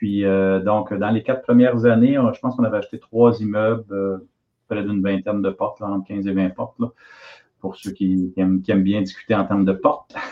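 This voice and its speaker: This man has an unremarkable speaking voice with a fairly low pitch. He talks at a fairly quick pace with fairly even intonation. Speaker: real estate investor. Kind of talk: casual chat.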